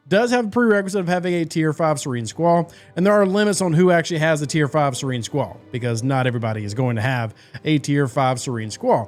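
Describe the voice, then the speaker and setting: A man speaks with a fairly high pitch and very wide pitch swings. Music plays in the background. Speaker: mobile game content creator. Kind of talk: gaming tips video talk.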